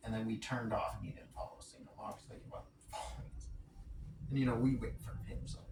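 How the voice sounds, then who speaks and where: A man talks at a very fast pace, his loudness swinging widely. Noticeable background noise and audible room echo fill the recording. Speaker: vlogger. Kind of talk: casual vlog monologue. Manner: quiet; rambling, self-correcting.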